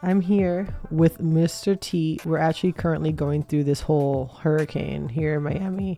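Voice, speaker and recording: A woman speaks with a very deep, low pitch and ordinary pitch variation. Noticeable background noise is present. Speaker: podcast host. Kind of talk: casual monologue. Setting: at home. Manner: casual, many fillers.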